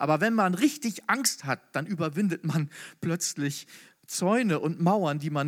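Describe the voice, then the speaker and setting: In a very clean recording with a silent background, a man with a fairly high pitch speaks at a moderate pace, animated in tone and lively in intonation. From northern Germany. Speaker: preacher. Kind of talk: sermon. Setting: hall with audience.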